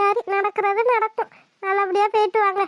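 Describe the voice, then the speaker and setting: In a cartoonish character voice, a woman speaks at an extremely high pitch and a fairly slow pace. Her intonation is monotone and flat, and the sound is dry and close with no echo. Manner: calm, motherly.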